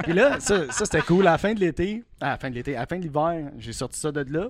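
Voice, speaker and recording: A man with a Quebec accent on a very clean recording with a silent background. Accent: Québécois French. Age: 30s. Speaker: car enthusiast. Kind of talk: casual chat.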